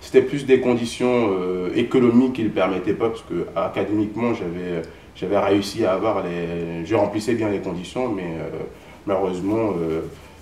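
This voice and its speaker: Heard through audible room echo and noticeable background noise, a man talks at a moderate pace in a fairly low voice with ordinary pitch variation. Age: 20s. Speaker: accountant, former student. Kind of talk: interview. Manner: hesitant, many fillers.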